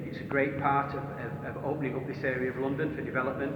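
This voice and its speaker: A man's very fast, monotone delivery with flat intonation, medium pitch and a northern English accent, plus noticeable background noise and audible room echo. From northern England. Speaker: tunnelling manager, engineer. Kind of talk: on-site interview. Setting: underground railway tunnel.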